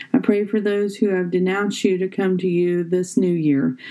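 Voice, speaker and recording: Using a normal speaking voice, the woman keeps a medium pitch, a moderate pace and fairly even intonation. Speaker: devotional reader. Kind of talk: fervent prayer, spoken devotional. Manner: earnest, fervent, pleading; rhythmic, repetitive cadence.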